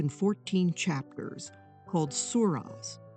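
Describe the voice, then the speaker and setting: Over music in the background, a woman speaks fairly slowly at a fairly low pitch. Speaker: art historian. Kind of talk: documentary narration.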